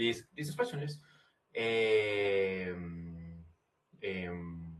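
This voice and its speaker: A man with a Colombian accent, fairly low in pitch, at a very slow pace with lively intonation. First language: Spanish. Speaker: English language student. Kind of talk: class discussion. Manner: halting.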